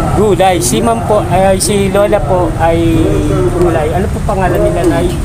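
The pace is moderate. Loud background noise fills the recording. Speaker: charity vlogger. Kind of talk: casual street interview host. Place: market. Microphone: phone near.

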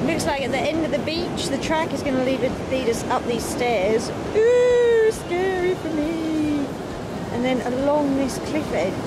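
Loud background noise fills the recording, though the sound itself is dry with no echo. A woman speaks at a fairly slow pace. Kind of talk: casual vlog chat. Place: beach. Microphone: phone near.

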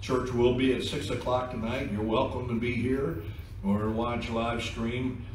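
A man speaks fairly slowly in a flat monotone, with audible room echo and light background noise. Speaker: pastor. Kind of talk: church announcements then scripture reading. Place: church. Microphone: podium.

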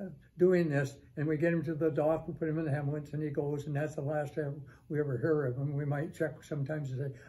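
A somewhat breathy man talks at a very fast pace in a monotone, flat intonation with a dark, mellow tone. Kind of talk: storytelling talk. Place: office.

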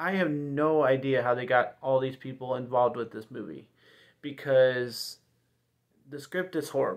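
Speaking at a fairly slow pace, a man holds a medium pitch.

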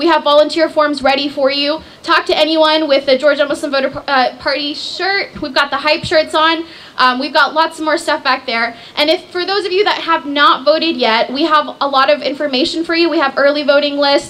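A woman speaks with a high pitch and fairly even intonation. There is noticeable background noise. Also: fairly quick pace. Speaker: nonprofit director. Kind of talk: speech. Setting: stage with audience.

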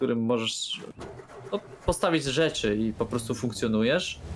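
A man with a Polish accent speaks at a fairly slow pace. His pitch variation is ordinary, with light background noise. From Poland. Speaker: streamer. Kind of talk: casual chat. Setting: live stream. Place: home room. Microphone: studio mic.

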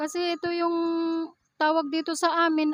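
The dry, close sound with no echo carries a woman talking at a moderate pace. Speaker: vlogger. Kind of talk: casual vlog narration. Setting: outdoors.

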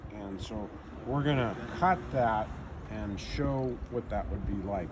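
Noticeable background noise under a man speaking with lively intonation. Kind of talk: tutorial. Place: street. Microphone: phone near.

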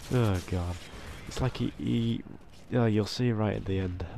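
A man speaks with a British accent. His tone is dark and mellow, with ordinary pitch variation. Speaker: gaming commentator. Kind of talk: gameplay commentary.

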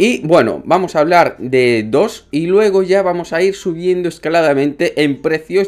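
A man talks at a fairly slow pace. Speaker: gaming youtuber. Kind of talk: casual video commentary. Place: home room.

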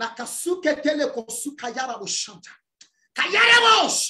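A man talks at a fairly slow pace over a quiet background. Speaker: preacher. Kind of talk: fervent prayer and deliverance declarations. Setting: church. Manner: loud, commanding, fiery. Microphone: video call.

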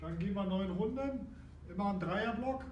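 A man talks at a moderate pace over light background noise, with audible room echo. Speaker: fitness trainer. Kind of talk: workout instruction. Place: gym. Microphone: camera far.

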